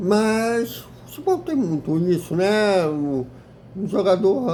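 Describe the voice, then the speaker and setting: At a very slow pace, a man speaks in a high pitch with a dark, mellow tone and ordinary pitch variation. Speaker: YouTube football club commentator. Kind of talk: casual video commentary. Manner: halting with repetitions.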